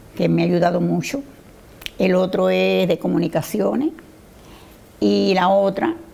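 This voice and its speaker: Over noticeable background noise, a woman speaks at a fairly slow pace with very even loudness and long, frequent pauses. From Cuba. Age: 80s+. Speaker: interviewee, daughter of a Formentera emigrant. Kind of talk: TV interview.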